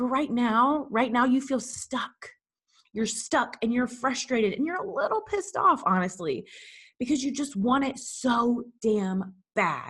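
A woman with an American accent, high pitch, lively intonation and an animated tone at a fairly slow pace. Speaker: business coach. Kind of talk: pep talk, motivational monologue.

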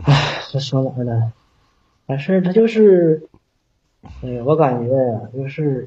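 In a northeastern Chinese accent, a man speaks very slowly and somewhat breathily with lively intonation and long, frequent pauses. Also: medium pitch for a man. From Northeast China, Shenyang. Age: 30s. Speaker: caller seeking relationship advice. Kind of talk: call-in advice chat. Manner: halting.

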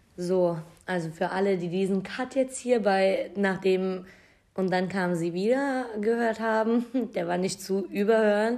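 A woman speaks in an unremarkable speaking voice, medium in pitch with ordinary pitch variation. Her pace is fairly slow. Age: 20s. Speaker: podcast co-host. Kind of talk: casual chat.

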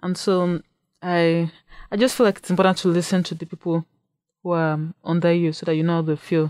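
Monotone, flat intonation marks this woman's fairly low voice, caught in a very clean recording with a silent background and a dry, close sound with no echo. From Nigeria. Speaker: university student. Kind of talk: radio interview. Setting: radio studio.

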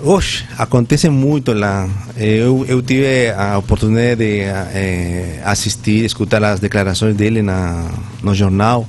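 Noticeable background noise surrounds a man who speaks with a Spanish accent. His pitch is fairly low, his pace fairly slow, and his pitch variation ordinary. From Peru, Lima. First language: Spanish (speaking Portuguese). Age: 40s. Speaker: Spanish teacher, former air force sergeant. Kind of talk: radio interview. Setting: radio studio. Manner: halting, mixing Spanish and Portuguese.

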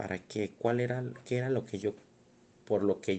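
At a fairly slow pace, a man speaks in a monotone, flat intonation. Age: 30s. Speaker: educational psychologist. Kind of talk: interview answers. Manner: halting, many repetitions.

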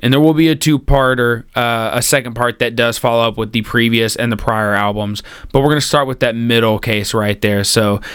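A man speaks at a moderate pace in a medium pitch. His intonation stays fairly even in a plain, everyday voice. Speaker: podcast co-host. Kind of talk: casual chat.

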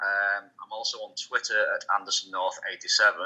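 A man speaks with a British accent. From UK. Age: 30s. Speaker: pro wrestler. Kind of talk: interview.

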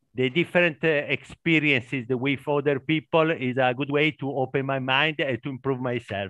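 A man with an Italian accent and ordinary pitch variation. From Italy. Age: 50s. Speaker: warehouse worker, English learner. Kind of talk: casual group conversation practice. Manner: halting.

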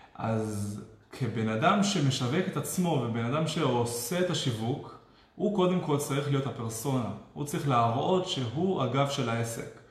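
Against noticeable background noise and audible room echo, a man speaks fairly slowly at a fairly high pitch. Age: 20s. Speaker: web developer and online marketer. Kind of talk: live-stream interview.

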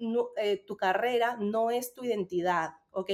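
Ordinary pitch variation marks this woman's speech, which unfolds at a very slow pace. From Peru. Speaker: Spanish teacher and business coach. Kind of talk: casual chat. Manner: halting.

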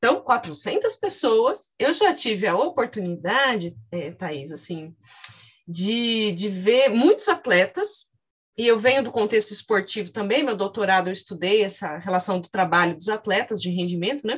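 Somewhat breathy, a woman talks at a fairly slow pace. Her intonation is lively. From interior of São Paulo state. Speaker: podcast host and psychology professor. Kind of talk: interview.

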